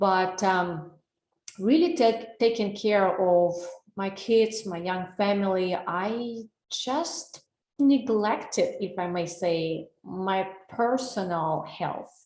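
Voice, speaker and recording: A woman speaks with a Russian accent at a medium pitch. Her pace is very slow and her pitch varies in an ordinary way. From Russia, Saint Petersburg. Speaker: wellness coach. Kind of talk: webinar presentation. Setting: online webinar.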